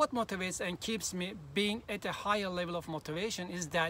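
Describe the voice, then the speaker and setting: A high-pitched man in a Turkish accent with ordinary pitch variation. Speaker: language learning youtuber. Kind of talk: vlog monologue.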